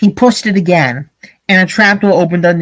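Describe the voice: The voice is plain reading aloud with fairly even intonation. Behind it, the background is quiet.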